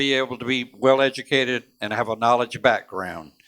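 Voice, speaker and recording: With a coastal Georgia accent, a man talks at medium pitch and a moderate pace with ordinary pitch variation and a bright, sharp tone, recorded very cleanly against a silent background with a dry, close sound and no echo. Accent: US Southern (coastal Georgia). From US South, Georgia (Savannah area). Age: 70s. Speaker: congressional candidate, Vietnam veteran. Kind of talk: candidate forum speech.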